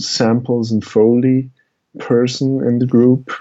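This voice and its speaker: Someone speaks very slowly with a Swiss German accent. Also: man. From Switzerland. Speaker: musician and media artist. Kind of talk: interview.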